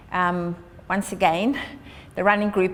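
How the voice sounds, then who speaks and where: Speaking at a moderate pace, this woman has a South African accent. Her pitch is fairly low. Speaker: charity founder and long distance runner. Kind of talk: prepared address.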